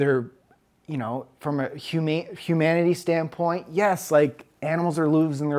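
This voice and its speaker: In a very clean recording with a silent background, a man with an ordinary speaking voice talks at a moderate pace with fairly even intonation. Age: 30s. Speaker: fitness podcast co-host. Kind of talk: casual Q&A chat.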